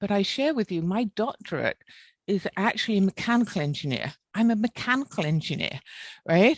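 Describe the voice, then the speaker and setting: Against a quiet background with a dry, close sound and no echo, a woman with a British accent talks at a fairly quick pace and medium pitch, using very wide pitch swings. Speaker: engineer with a doctorate. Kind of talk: webinar panel discussion. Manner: blunt.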